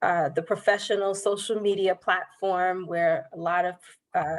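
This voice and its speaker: With a New York accent, a woman speaks at medium pitch in a monotone with flat intonation. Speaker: banker. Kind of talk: workshop presentation.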